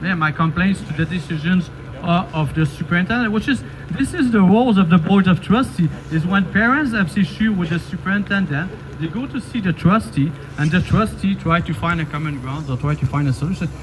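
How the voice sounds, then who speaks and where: A man talks at a high pitch with lively intonation. There is noticeable background noise. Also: fairly quick pace. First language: French. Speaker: parent activist. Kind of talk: public protest speech. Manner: halting, many fillers and repetitions.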